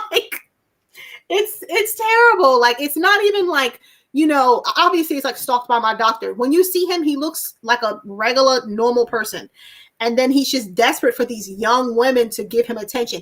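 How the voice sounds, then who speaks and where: Loud and animated, a woman speaks at a moderate pace in a high pitch with very wide pitch swings, on a very clean recording with a silent background. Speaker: horror channel host. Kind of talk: casual chat. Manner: loud, animated.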